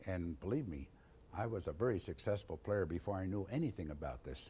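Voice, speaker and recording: The voice has a dark, mellow tone and vocal fry and moves at a fairly quick pace. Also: man. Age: 60s. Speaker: tuba player and teacher. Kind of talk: Q&A session at a conference.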